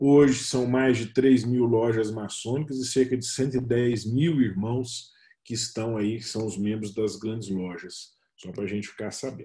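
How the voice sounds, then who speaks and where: Speaking at a fairly slow pace, this man has a medium-pitched, somewhat breathy voice with a dark, mellow tone and fairly even intonation. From Minas Gerais, Brazil. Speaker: freemason official, speaker. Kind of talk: webinar presentation. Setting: video call webinar.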